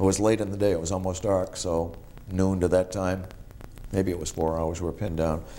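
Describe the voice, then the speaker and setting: With a Boston accent and a very deep, low pitch, a man talks at a moderate pace with fairly even intonation over light background noise. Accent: Eastern New England (Boston area). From Massachusetts North Shore (Marblehead); Massachusetts. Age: 50s. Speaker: war veteran. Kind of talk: oral history interview. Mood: calm, reflective. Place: home room. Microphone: lapel.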